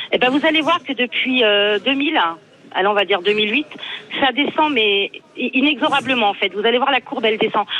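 A woman speaks in a high voice with lively intonation and very even loudness at a moderate pace. Noticeable background noise runs underneath. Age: 40s. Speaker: radio caller, logistics manager. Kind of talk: call-in opinion. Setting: phone call.

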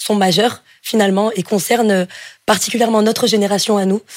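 A woman speaks at a moderate pace in an unremarkable speaking voice, medium in pitch with fairly even intonation. The recording is very clean, with a silent background. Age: 20s. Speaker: engineering student. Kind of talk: job interview on radio. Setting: studio.

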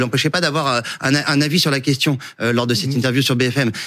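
Speaking very rapidly, this man's voice sits fairly high. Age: 40s. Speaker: political journalist. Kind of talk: televised debate.

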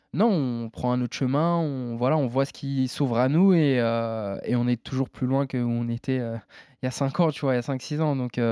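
Over a quiet background, a man with a dark, mellow tone speaks at a moderate pace. His pitch is medium, with ordinary variation. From France. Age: 20s. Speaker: MMA fighter. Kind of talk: casual interview.

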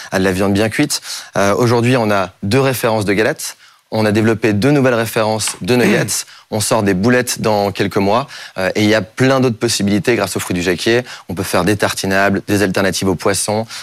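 Fairly quick speech comes from a man. His pitch is fairly low. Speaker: startup cofounder. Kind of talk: startup pitch. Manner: energetic.

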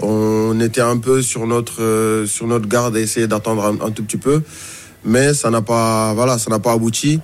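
A man talks at a fairly slow pace. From Mauritania. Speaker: journalist. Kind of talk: radio football discussion. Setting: radio studio.

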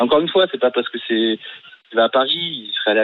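A man is speaking. His pace is very fast. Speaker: radio caller, football fan. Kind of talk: radio call-in. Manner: subdued, not upbeat.

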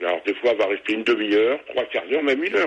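A man talks with very wide pitch swings. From Normandy, France (Calvados). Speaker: radio caller. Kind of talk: phone-in question. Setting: phone call. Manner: halting, pauses between sentences.

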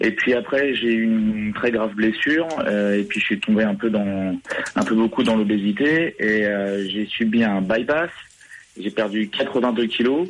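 Speaking at a very slow pace, a man keeps a medium pitch with ordinary pitch variation and very even loudness. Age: 30s. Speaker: radio caller, former runner. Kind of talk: call-in radio chat. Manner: halting.

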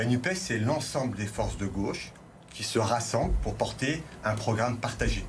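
At a moderate pace, a man talks at a medium pitch, with audible room echo. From France, Vaulx-en-Velin near Lyon. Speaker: teacher and parliamentary candidate. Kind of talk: televised political debate. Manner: halting, repeats words.

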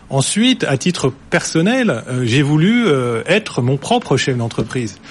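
A man talks in an ordinary speaking voice at a fairly high pitch. His intonation is lively and his pace fairly slow. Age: 40s. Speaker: company CEO. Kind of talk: studio interview.

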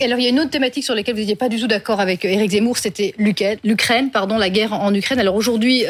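Noticeable background noise sits behind this woman. Her pitch is fairly high, with ordinary pitch variation. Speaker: panel journalist. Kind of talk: interview.

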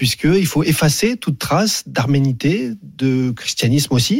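Over a very clean recording with a silent background, a man with a normal speaking voice talks at a fairly slow pace, his pitch fairly high and his intonation lively. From Paris suburbs, France. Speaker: sports journalist. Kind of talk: radio interview.

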